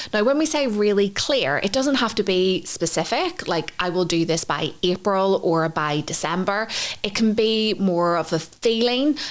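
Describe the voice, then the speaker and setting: Lively intonation marks this woman's speech, delivered at a moderate pace. Her loudness stays very even, with hardly any pauses. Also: medium pitch for a woman. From Northern Ireland. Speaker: podcast co-host, intuitive psychology trainer. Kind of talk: podcast teaching framework. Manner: conversational with fillers.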